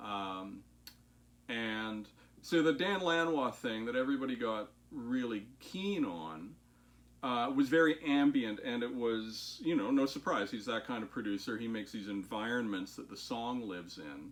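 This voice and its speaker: A man talks at a medium pitch and a moderate pace. His intonation is lively. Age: 50s. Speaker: guitar maker and musician. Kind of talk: casual talk-through tutorial. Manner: hesitant, many fillers.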